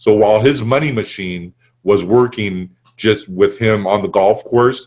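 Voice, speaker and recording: Here a man speaks with fairly low pitch. His intonation stays fairly even. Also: fairly slow pace. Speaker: business coach. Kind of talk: webinar sales pitch. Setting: webinar. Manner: halting.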